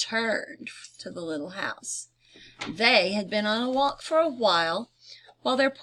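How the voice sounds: Lively intonation runs through a natural reading voice, heard over a quiet background.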